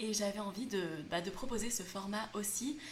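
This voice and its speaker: Over noticeable background noise and audible room echo, a woman talks at a medium pitch. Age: 20s. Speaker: youtuber and podcaster on frugal living. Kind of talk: solo podcast monologue.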